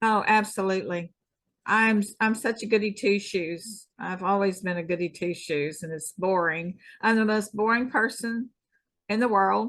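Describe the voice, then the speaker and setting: Her pitch is medium, with ordinary variation, as a woman speaks with an American accent. She keeps a moderate pace. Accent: Texan, self-described hick. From Texas. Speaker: former pro wrestler and stuntwoman. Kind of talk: interview.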